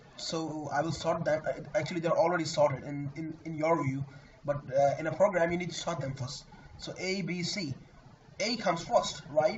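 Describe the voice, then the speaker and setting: Fairly high male voice at a moderate pace, fairly even in intonation, over noticeable background noise. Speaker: programming tutor. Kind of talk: tutorial. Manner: halting.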